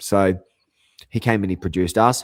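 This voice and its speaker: Male speech on a very clean recording, silent in the background. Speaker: radio host and musician. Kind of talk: casual monologue. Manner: rambling, halting.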